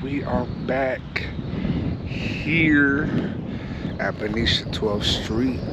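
A man with ordinary pitch variation, dry sound with no echo, and loud background noise. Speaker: fishing vlogger. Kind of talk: casual vlog chat. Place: waterside. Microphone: phone near.

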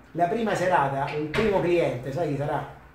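Light background noise and audible room echo accompany a man talking at a fairly quick pace. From Rome, Italy; Italy. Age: 50s. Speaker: DJ and author; DJ. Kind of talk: talk to students. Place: classroom.

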